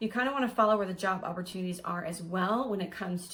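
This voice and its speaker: Somewhat breathy, a woman at medium pitch talks at a very fast pace. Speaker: realtor. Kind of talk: real estate advice video.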